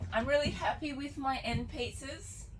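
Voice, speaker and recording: A woman speaks with vocal fry. She keeps a moderate pace. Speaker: DIY builder and vlogger. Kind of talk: DIY vlog narration. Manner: casual, relaxed.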